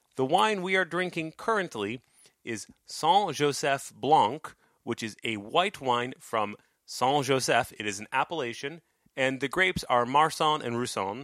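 A man with a normal speaking voice talks fairly slowly at a fairly high pitch, with lively intonation. The recording is very clean with a silent background. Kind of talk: casual chat. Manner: joking, playful.

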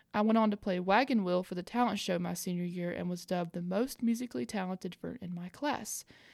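A woman with a Southern US accent at a fairly quick pace, ordinary pitch variation, on a very clean recording with a silent background and a dry, close sound with no echo. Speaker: podcast host. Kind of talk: scripted-style podcast hosting with story readings.

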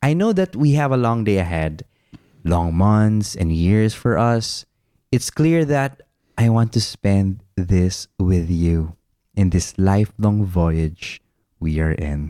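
In a very clean recording with a silent background and a dry, close sound with no echo, a man with a Filipino accent speaks very slowly in a dark, mellow tone at a fairly low pitch, with lively intonation and very even loudness. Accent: Filipino English, Tagalog code-switching. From Philippines, Laguna. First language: Tagalog. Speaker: podcast co-host. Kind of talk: casual chat.

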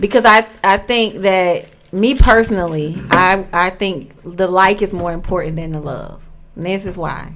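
A woman speaks at a medium pitch and moderate pace with ordinary pitch variation. Her loudness swings a lot. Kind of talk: casual banter, relaxed radio-style talk about love and relationships. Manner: animated, conversational, slangy and loose.

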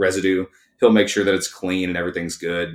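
A man with a Texan accent speaks in a very deep, low pitch. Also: very clean recording, silent background. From East Texas. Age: 30s. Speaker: auto repair shop owner. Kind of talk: casual chat.

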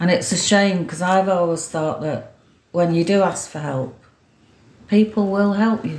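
A woman with a slight Manchester accent speaks at a moderate pace, her medium pitch showing ordinary variation. There are long, frequent pauses and audible room echo. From Greater Manchester, Stockport. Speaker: former mayor and community volunteer. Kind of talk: casual interview. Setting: at home.

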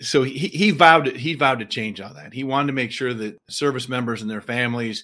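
In an American accent, a man speaks at a very fast pace with a medium pitch and a bright, sharp tone, on a very clean recording with a silent background. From US Midwest, western Illinois. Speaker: company executive. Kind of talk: interview. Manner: repeats words, halting.

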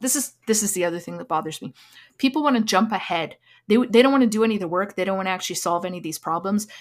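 On a very clean recording with a silent background, a woman with a Canadian accent talks very fast, with lively intonation and big swings in loudness. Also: medium pitch for a woman. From Alberta, Canada (Lac Saint Anne). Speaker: Métis author. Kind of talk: interview.

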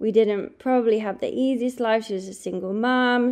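A woman with an English accent speaks in a fairly even intonation against a quiet background. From England. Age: 30s. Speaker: podcast host, holistic health coach. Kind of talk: solo podcast monologue, personal story.

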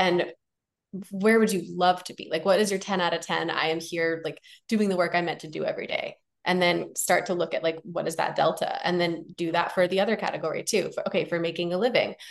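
With a General American accent, a woman with a fairly low voice talks fairly quickly in a flat, monotone delivery. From United States. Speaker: physician turned coach and podcaster. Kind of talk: casual interview.

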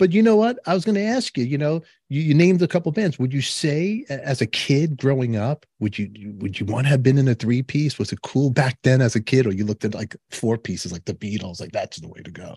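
A man with a Brooklyn accent speaks at a fairly quick pace with hardly any pauses, in a dark, mellow, somewhat breathy tone with very wide pitch swings and big swings in loudness, against a quiet background with a dry, close sound and no echo. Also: medium pitch for a man. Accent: Brooklyn New York. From New York, Canarsie Brooklyn. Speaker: podcast host. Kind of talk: casual interview. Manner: animated.

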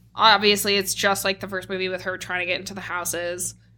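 The recording is very clean, with a silent background. A woman speaks at a fairly quick pace in a bright, sharp tone. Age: 20s. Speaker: podcast co-host. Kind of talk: casual chat.

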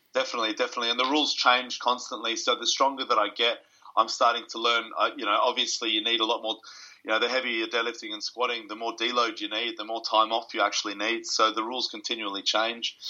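This man talks at a very fast pace. He speaks with an Australian accent. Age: 30s. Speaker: strength coach and powerlifter. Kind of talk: casual interview.

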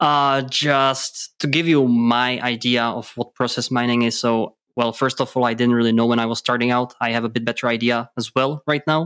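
A man with a Czech accent speaks in a flat monotone with very even loudness and hardly any pauses, on a very clean recording with a silent background. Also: medium pitch for a man, moderate pace. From Czech Republic. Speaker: podcast co-host, data analytics consultant. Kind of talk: casual chat. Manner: hesitant, many filler words.

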